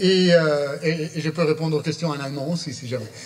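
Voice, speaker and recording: A man with a fairly high voice talks fairly quickly, with noticeable noise in the background. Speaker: palliative care professor. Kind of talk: conference talk. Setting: conference with audience. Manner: halting, many fillers.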